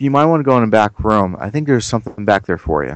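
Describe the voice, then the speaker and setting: This is a man with an American accent. The rise and fall of his pitch is ordinary. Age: 30s. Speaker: gaming YouTuber. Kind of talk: casual chat.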